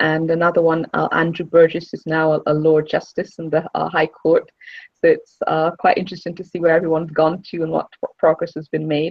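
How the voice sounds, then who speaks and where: Talking at a fairly quick pace in an English accent, a woman keeps a fairly low pitch and monotone, flat intonation. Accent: English-sounding, Barbadian roots. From Barbados. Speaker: lawyer and alumna donor. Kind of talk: interview.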